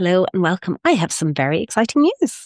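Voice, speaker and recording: A woman with an Irish accent speaks with very wide pitch swings. The sound is dry and close with no echo, over a quiet background. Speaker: spiritual wellness podcaster. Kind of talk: casual podcast monologue. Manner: warm, effusive.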